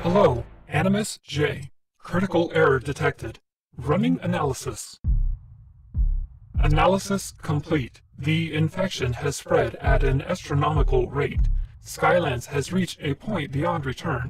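Putting on a raspy character voice, a man talks at a fairly high pitch and a moderate pace. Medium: machinima. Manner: flat, mechanical, polite.

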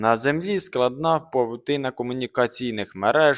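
A plain reading aloud with ordinary pitch variation.

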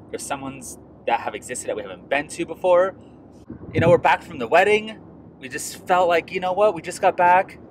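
Light background noise sits under a man talking very fast, the sound dry with no echo. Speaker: beer vlogger. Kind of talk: casual vlog chat. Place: car. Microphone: phone near.

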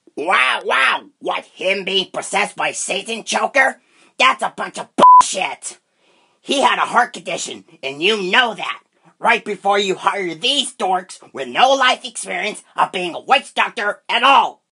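A man's cartoonish character voice, high-pitched and lively in intonation, at a fairly slow pace, with sound effects in the background. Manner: bossy, scornful, profane.

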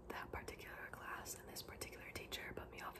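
Soft-spoken and whispering, a woman talks at a very fast pace over loud background noise. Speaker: book reader. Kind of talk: reading a memoir aloud. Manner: soft ASMR whisper, reading aloud. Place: home room. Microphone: phone near.

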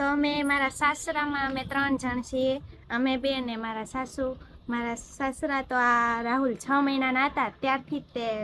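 In a raised, projected voice, a woman speaks at high pitch with a bright, sharp tone and monotone, flat intonation. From Gujarat, Bhavnagar. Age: 20s. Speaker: vlogger. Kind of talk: Q&A vlog chat.

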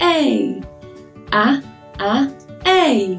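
Faint music is in the background. Over it, a woman talks. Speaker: preschool teacher. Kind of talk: children's lesson. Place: home room. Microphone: camera far.

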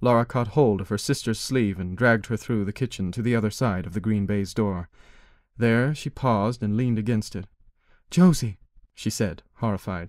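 A man talks in a plain, everyday voice at a fairly low pitch with ordinary pitch variation. The recording is very clean with a silent background. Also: moderate pace. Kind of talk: audiobook narration reading a short story aloud. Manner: measured, expressive storyteller pacing.

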